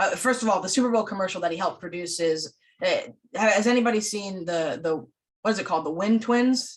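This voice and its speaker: A woman talks at a very fast pace. Her pitch is medium, with ordinary pitch variation. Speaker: film school instructor and event host. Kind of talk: online panel discussion. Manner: loud; many fillers and restarts.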